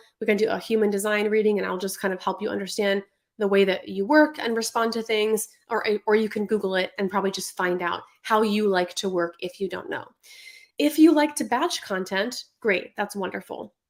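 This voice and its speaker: At a fairly quick pace, a woman talks at a medium pitch with ordinary pitch variation. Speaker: online business coach. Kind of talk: live stream tutorial. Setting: Instagram live stream. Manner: fast.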